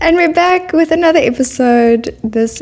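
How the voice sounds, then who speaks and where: Speech in a South African accent comes at a fairly slow pace with very wide pitch swings. Noticeable background noise runs underneath. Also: woman. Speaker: podcast host. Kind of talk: interview. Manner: animated.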